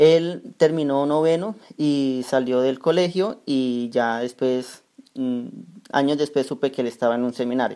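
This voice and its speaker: Speaking with a Colombian accent, a man uses a fairly high pitch, a dark, mellow tone and ordinary pitch variation at a fairly slow pace. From Colombia, Cúcuta (Norte de Santander). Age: young. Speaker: young religious brother. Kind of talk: interview.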